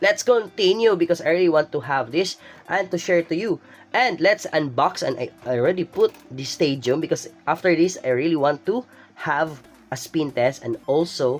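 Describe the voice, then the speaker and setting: At a moderate speed, someone talks while music sounds behind them. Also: man. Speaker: toy reviewer youtuber. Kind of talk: unboxing tutorial. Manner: animated; halting.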